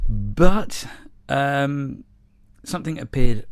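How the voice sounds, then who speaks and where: The speaker is a man. He has an English accent. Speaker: model railway YouTuber. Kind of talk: casual vlog monologue. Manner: halting, with fillers and repetitions.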